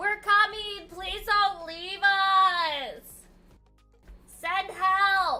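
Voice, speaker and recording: Doing a put-on character voice, a woman speaks loudly at a very slow pace in an extremely high voice with fairly even intonation and long, frequent pauses, while faint music plays in the background. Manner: shouting, pleading.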